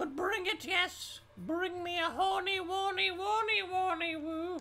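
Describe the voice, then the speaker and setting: Using a put-on character voice, a man speaks at an extremely high pitch. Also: fairly slow pace. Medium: game stream. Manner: theatrical, cackling, insulting.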